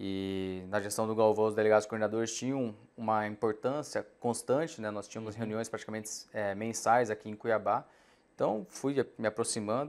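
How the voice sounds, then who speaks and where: A man with a fairly low voice talks at a fairly quick pace, keeping his intonation fairly even. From Mato Grosso, Brazil (raised in Sorriso); Mato Grosso, Brazil. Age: 30s. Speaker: farm association director; guest. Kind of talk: interview. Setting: studio. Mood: calm, concerned. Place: studio. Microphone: lapel.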